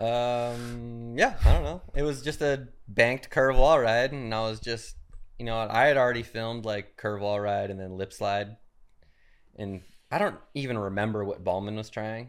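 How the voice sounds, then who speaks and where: A man speaks at medium pitch and a moderate pace, with ordinary pitch variation and big swings in loudness. It is a plain, everyday voice on a very clean recording with a silent background. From Arizona, Phoenix. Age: 40s. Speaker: professional BMX rider. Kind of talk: casual chat. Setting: home studio.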